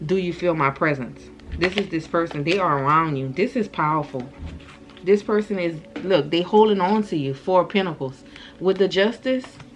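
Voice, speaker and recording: This woman has a normal speaking voice, pitched fairly low. Her intonation is lively and her pace moderate. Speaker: tarot reader. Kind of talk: channeled tarot reading. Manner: casual, repetitive.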